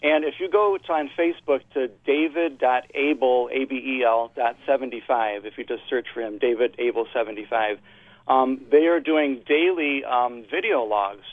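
A man with an American accent speaks in an ordinary speaking voice at medium pitch, at a fairly slow pace with ordinary pitch variation. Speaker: caller. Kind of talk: call-in talk radio. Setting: phone call.

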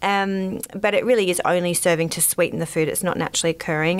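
Talking at a very fast pace, a woman with an Australian accent uses a fairly low pitch. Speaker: dietitian. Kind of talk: interview. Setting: studio.

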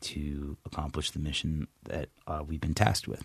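Speaking with an American accent, a man with a very deep, low pitch goes at a moderate pace. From US East Coast (Virginia area). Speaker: army veteran. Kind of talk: interview testimony. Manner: halting, many fillers.

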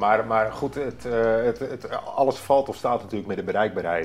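A man's pitch varies in an ordinary way as he talks at a moderate pace, with noticeable background noise behind him. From North Holland, Netherlands (Hoorn). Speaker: former commando conscript. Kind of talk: interview. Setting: at home. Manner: halting, many repetitions.

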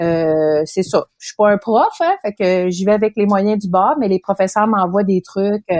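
A woman with a Quebec accent speaks at medium pitch and a very slow pace, with hardly any pauses. Her pitch varies in an ordinary way, in a dry, close sound with no echo. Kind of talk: casual chat.

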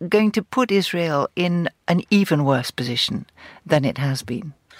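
Very wide pitch swings in a dry, close sound with no echo, on a very clean recording with a silent background. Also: woman. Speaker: journalist and commentator. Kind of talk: panel discussion. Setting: studio.

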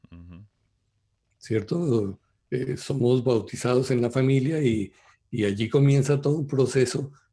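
At a moderate pace, a man with a medium pitch speaks in a dark, mellow, somewhat breathy tone with fairly even intonation. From Colombia. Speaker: translator and former pastor, Torah teacher. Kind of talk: religious discussion on radio show.

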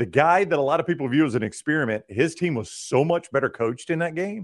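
A man with a fairly high pitch and vocal fry talks at a fairly quick pace. His pitch makes very wide swings. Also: quiet background. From Alabama. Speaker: sports radio host. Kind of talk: casual chat.

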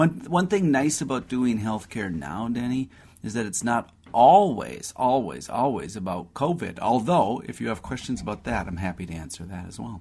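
Vocal fry and very wide pitch swings from a man at a medium pitch and moderate pace, with big swings in loudness. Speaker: doctor answering listener health questions. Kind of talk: radio call-in health advice. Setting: radio studio.

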